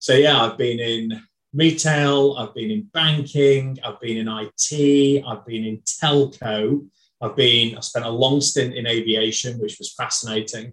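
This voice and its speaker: A man with a northern English accent speaks at a fairly slow pace. His pitch is medium, with ordinary variation. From northern England. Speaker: HR executive. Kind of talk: casual interview.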